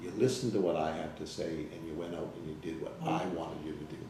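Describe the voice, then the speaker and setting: With lively intonation and a fairly quick pace, a man talks as audible room echo fills the space. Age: 60s. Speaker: salesman giving client testimonial. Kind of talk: interview testimonial. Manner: hesitant, many fillers.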